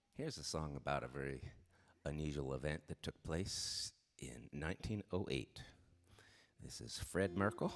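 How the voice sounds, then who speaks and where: A man with an American accent speaks at a very deep, low pitch with vocal fry and ordinary pitch variation. He keeps a moderate pace with long, frequent pauses. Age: 60s. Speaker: singer-songwriter. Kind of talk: live stream song introduction. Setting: live stream from home. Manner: casual storytelling.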